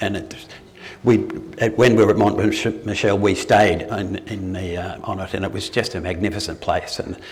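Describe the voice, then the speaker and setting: A man with an Australian accent at a moderate pace, fairly even intonation, and noticeable background noise. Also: fairly low pitch for a man. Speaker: retired doctor giving a talk. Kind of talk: public talk. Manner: halting, many fillers and restarts.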